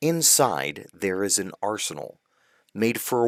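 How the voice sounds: A natural reading voice, lively intonation, quiet background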